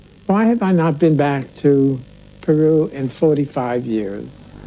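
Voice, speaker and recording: Over noticeable background noise, a man speaks fairly slowly at a fairly high pitch with lively intonation. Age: 70s. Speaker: artist and traveler. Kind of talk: interview.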